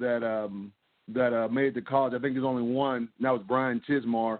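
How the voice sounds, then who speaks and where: An ordinary speaking voice from a man with an American accent, medium in pitch, at a fairly quick pace with fairly even intonation. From Pittsburgh, US. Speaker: former college football player. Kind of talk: interview. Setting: phone call.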